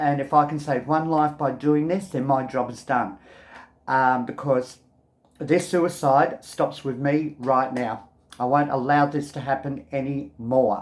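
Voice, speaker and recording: A man with an Australian accent speaks at a fairly slow pace in a fairly high pitch, on a very clean recording with a silent background. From Australia, Melbourne. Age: 60s. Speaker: video blogger. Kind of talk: personal testimony to camera. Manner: casual, hesitant with many ums.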